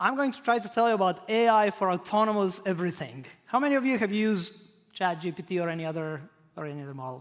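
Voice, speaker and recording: A man speaks with a non-native accent and a high pitch. His pace is very fast and his intonation lively. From Croatia. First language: not English. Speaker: professor. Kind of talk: lecture.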